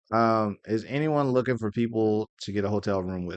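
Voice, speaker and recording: The speaker has an American accent and fairly even intonation. The sound is dry and close with no echo, over a quiet background. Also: man. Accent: Southern US country accent, comes out briefly. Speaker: anime convention YouTuber. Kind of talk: casual Q&A commentary.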